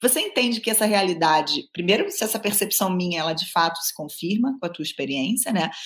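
A woman's somewhat breathy voice with lively intonation and a fairly quick pace. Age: 40s. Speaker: podcast host. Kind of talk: interview conversation. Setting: remote call from home.

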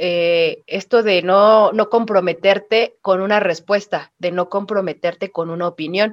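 A woman with a plain, everyday voice speaks fairly slowly at a medium pitch, her intonation fairly even and her speech hardly pausing. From Mexico, Pachuca, Hidalgo. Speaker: podcast co-host. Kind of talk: casual chat.

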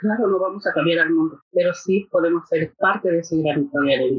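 A woman speaks at a moderate pace in a normal speaking voice, her intonation lively. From Mexico City. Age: 50s. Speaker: mental health navigator. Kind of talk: casual interview. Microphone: poor audio quality.

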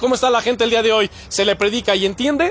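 Ordinary pitch variation marks this man's high-pitched voice. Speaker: pastor. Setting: church.

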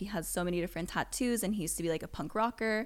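A woman speaks in a normal speaking voice with an American accent, her pitch fairly low and her intonation lively. The recording is very clean, with a silent background. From Las Vegas, US. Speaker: yoga teacher and studio owner. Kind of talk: casual chat. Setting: studio.

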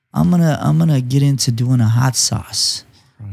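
This is a man speaking. His pitch varies by an ordinary amount. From Imperial Valley, California. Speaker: hot sauce entrepreneur. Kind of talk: casual interview chat.

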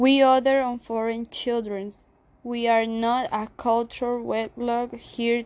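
Over a quiet background, the speech moves at a very slow pace in a monotone, flat intonation. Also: woman. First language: Spanish. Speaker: spoken word poet. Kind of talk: spoken word poetry performance.

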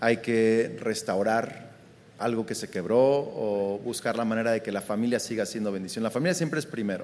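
A man speaks at a moderate pace. He has a normal speaking voice. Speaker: pastor. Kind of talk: live podcast conversation. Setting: live recording at a conference.

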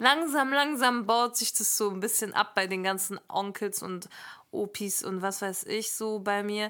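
Her tone is bright and sharp as a woman talks at a fairly slow pace with ordinary pitch variation. The recording is very clean, with a silent background. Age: 20s. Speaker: podcaster and speech therapist. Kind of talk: casual chat.

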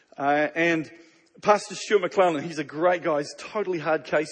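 A man speaks with a New Zealand accent at a high pitch. His tone is animated and his pace fairly quick. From Canada. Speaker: pastor. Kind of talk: sermon. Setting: stage with audience.

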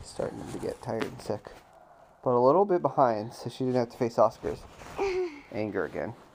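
A man at medium pitch, with ordinary pitch variation, big swings in loudness and long, frequent pauses, against noticeable background noise. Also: fairly quick pace. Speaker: parent reading bedtime story to child. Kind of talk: reading aloud.

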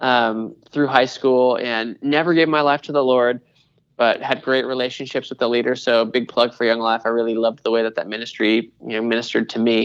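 A man with a plain, everyday voice, an American accent and a medium pitch, fairly even intonation and a fairly quick pace. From US Pacific Northwest (Washington State). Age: 30s. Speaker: creative pastor. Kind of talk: interview.

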